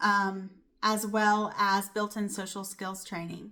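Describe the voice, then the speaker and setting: On a very clean recording with a silent background, a woman speaks at a medium pitch in a bright, sharp tone. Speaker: lifestyle podcast host. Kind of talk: solo podcast monologue.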